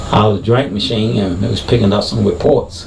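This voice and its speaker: Over noticeable background noise and audible room echo, a man with a fairly low pitch talks at a fairly quick pace with ordinary pitch variation. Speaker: video commentator, former sheriff's deputy. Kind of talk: video commentary. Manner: halting, many fillers.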